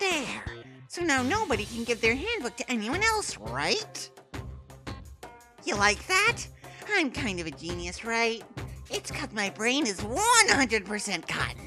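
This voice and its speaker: Over clear background music, a female-sounding voice uses a put-on character voice at a fairly high pitch. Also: moderate pace. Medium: dub. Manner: playful, smug.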